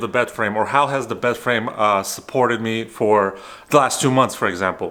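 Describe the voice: At a fairly quick pace, a man talks in a fairly bright tone.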